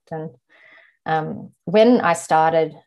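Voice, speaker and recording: A woman speaks in an unremarkable speaking voice, fairly low in pitch with fairly even intonation, against a quiet background. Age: 30s. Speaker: podcast guest sharing insomnia experience. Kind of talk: personal testimony.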